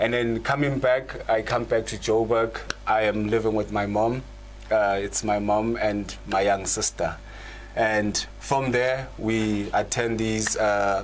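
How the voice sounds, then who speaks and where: Against noticeable background noise, a man with a fairly low pitch talks at a fairly slow pace in a monotone, flat intonation. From South Africa, Gauteng (East Rand). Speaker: channel host, spiritual practitioner. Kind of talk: conversational panel discussion. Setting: live online show. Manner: halting, many repetitions.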